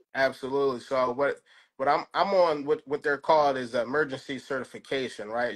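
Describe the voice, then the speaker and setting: Against a quiet background, a man with a Philadelphia accent speaks in a medium pitch. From North Philadelphia. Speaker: high school plumbing teacher. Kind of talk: interview answer.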